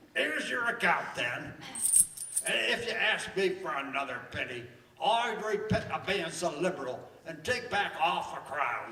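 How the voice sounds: In a put-on character voice, a man speaks at a fairly slow pace with fairly high pitch, a bright, sharp tone, and big pitch swings, all in strong room echo.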